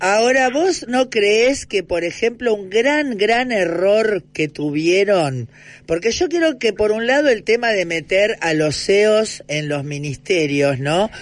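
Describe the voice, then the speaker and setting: A man talks at a very slow pace with hardly any pauses. His high pitch swings very widely. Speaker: radio host. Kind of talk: radio interview.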